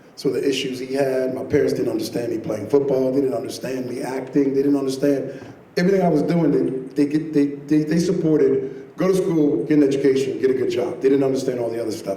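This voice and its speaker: A man's fairly high voice with ordinary pitch variation, audible room echo and noticeable background noise. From Caribbean. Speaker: filmmaker. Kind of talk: panel discussion. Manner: animated.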